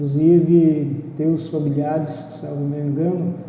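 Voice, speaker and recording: In a flat monotone, a man with a fairly high pitch speaks at a fairly slow pace, with noticeable background noise and audible room echo. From Brazil, Mato Grosso do Sul. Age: 60s. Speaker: former business association president, accountant. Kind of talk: interview.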